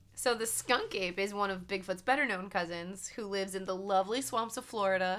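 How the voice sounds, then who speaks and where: On a very clean recording with a silent background, a woman with a medium pitch and a bright, sharp tone talks at a fairly quick pace in an animated tone. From US, rural countryside. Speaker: podcast host. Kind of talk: casual chat; reading aloud.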